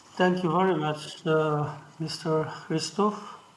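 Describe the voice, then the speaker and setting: Audible room echo surrounds a man with a high pitch who speaks fairly slowly in a monotone, flat intonation. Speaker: professor. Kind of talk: panel moderation. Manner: halting.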